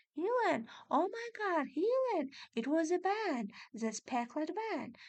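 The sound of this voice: A woman puts on a squeaky character voice at an extremely high pitch, swinging very widely up and down. She talks at a fairly slow pace.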